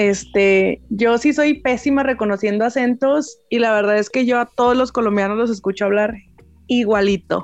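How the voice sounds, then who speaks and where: Speaking with a Mexican accent, a woman holds a fairly high pitch, fairly even intonation and very even loudness. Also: moderate pace. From Mexico. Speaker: podcast co-host. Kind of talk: casual chat.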